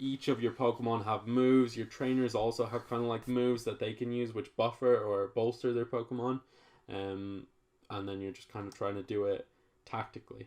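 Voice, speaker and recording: Over a quiet background, a man speaks at a fairly quick pace in a monotone, flat intonation. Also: medium pitch for a man. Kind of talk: casual podcast conversation.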